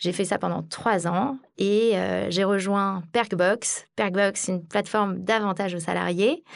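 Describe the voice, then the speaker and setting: Over a quiet background, a woman with a normal speaking voice talks at a fairly slow pace, medium in pitch with fairly even intonation. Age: 30s. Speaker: sales director. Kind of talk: interview.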